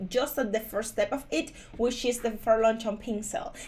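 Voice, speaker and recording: A woman with a fairly high pitch speaks at a moderate pace in a Spanish accent. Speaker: crypto YouTuber. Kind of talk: screen-share tutorial review. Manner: casual with frequent fillers.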